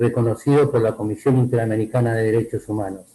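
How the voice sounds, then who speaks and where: A man speaks at medium pitch with a dark, mellow tone. His voice is somewhat breathy. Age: 70s. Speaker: lawyer, event speaker. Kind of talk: commemorative speech.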